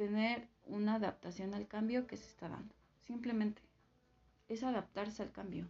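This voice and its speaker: A woman's somewhat breathy voice shows big swings in loudness. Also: fairly even intonation, moderate pace. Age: 20s. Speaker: guest sharing personal story. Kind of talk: testimony. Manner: halting, with fillers.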